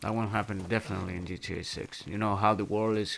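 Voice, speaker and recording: A man speaks with a Spanish accent at a fairly low pitch, with ordinary pitch variation. The recording is very clean, with a silent background. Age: 30s. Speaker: gaming streamer. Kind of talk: casual live-stream chat. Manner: halting.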